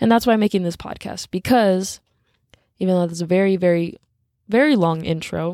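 A woman's dark, mellow tone in a dry, close sound with no echo, at a fairly quick pace with long, frequent pauses and ordinary pitch variation. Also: medium pitch for a woman. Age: 20s. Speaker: solo podcaster. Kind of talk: personal monologue.

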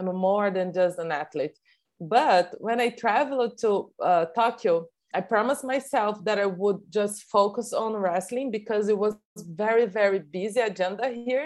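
With a Portuguese accent, the speaker talks at a moderate pace with ordinary pitch variation. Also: woman, medium pitch for a woman. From Brazil. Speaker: Olympic wrestler. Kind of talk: interview.

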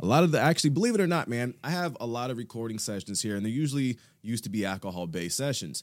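Very fast male speech with very wide pitch swings, on a very clean recording with a silent background. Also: medium pitch for a man. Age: 30s. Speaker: podcast host and studio owner. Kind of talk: casual podcast interview. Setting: studio.

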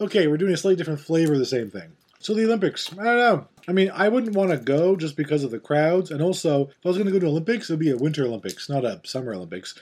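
A man talks at a very fast pace with hardly any pauses, his fairly high pitch carried by lively intonation. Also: big swings in loudness. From Newfoundland. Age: middle-aged. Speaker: podcast host. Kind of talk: casual chat. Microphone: laptop.

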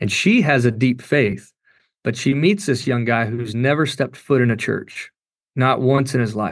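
Speaking with an American accent, a man uses a medium pitch, ordinary pitch variation and a moderate pace. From Kentucky. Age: 40s. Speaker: worship pastor and singer. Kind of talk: interview testimony. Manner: casual, animated.

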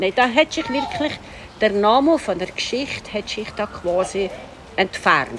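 A woman's fairly high voice at a fairly slow pace, with very wide pitch swings and noticeable background noise. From Switzerland, Upper Valais. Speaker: tour guide. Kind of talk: walking tour interview.

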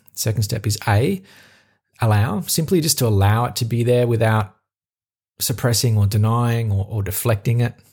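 An Australian accent from a man, medium in pitch and somewhat breathy, with ordinary pitch variation, on a very clean recording with a silent background. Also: moderate pace. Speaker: podcast host. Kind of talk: solo reflective monologue. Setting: talking into a microphone alone.

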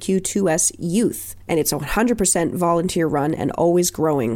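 A woman with a Canadian accent has a normal speaking voice at a medium pitch. She talks fairly quickly with ordinary pitch variation. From Nova Scotia, Canada. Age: 30s. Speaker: podcast host and drag king. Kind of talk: solo podcast monologue.

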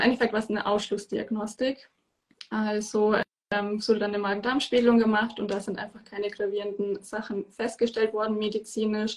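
Intonation is monotone and flat, delivered at a moderate pace. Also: woman. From southern Germany, Bavaria (near Munich). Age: 20s. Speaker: endometriosis patient and holistic health coach. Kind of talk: interview. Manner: hesitant, many fillers.

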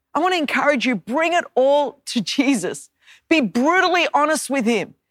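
With lively intonation, a woman speaks in a high voice on a very clean recording with a silent background. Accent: Australian. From Australia. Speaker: preacher. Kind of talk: sermon. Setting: church.

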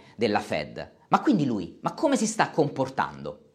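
This man has a fairly high pitch and vocal fry, speaking at a fairly slow pace. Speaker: finance YouTuber. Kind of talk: scripted narration.

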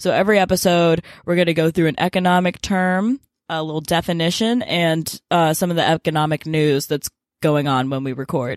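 A woman with an American accent speaks at a fairly quick pace in an unremarkable speaking voice, her pitch fairly low with ordinary pitch variation. The sound is dry and close with no echo, over a quiet background. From US South, Memphis, Tennessee. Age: young. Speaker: podcast co-host, college student. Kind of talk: casual podcast intro, partly scripted.

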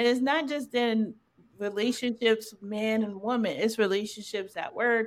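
Fairly high in pitch, a woman talks at a fairly slow pace in an unremarkable speaking voice with ordinary pitch variation. The recording is very clean, its background silent. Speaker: podcast host. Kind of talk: casual conversational podcast intro and moderating.

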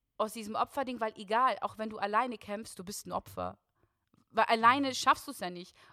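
Fairly high in pitch with ordinary variation, a woman's bright, sharp voice comes through on a very clean recording with a silent background. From Germany, Russian-German family. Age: 20s. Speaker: singer and guest sharing her faith story. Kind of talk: testimony.

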